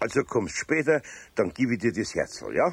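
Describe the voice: A man's put-on character voice, fairly low and slightly husky, with vocal fry, big pitch swings and a moderate pace.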